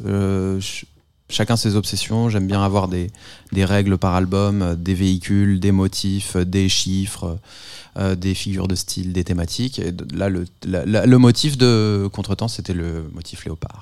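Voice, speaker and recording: A man with a very deep, low pitch speaks at a very slow pace with fairly even intonation. The recording is very clean, with a silent background. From France, Paris. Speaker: musician. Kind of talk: casual chat.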